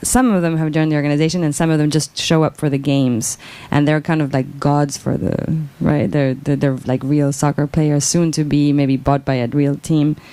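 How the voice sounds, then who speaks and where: With a Spanish accent, this woman has a very deep, low pitch, a dark, mellow tone, fairly even intonation and very even loudness. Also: moderate pace. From Mexico. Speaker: author. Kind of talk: Q&A answer at book talk. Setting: bookshop event with audience. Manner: halting, many repetitions.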